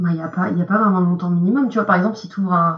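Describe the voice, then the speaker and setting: Her voice is somewhat breathy, a woman speaking at a medium pitch. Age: 20s. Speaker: investment professional at a brokerage. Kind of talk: podcast interview.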